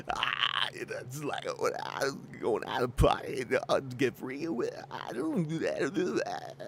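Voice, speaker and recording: A man puts on a character voice and talks at a very slow pace. Background noise is clearly audible. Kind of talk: casual slang. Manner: slurred, lazy, mocking.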